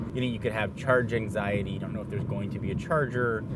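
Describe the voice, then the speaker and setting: Against loud background noise, a man talks at a very fast pace, the sound dry with no echo. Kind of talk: casual conversation while driving. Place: car. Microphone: lapel.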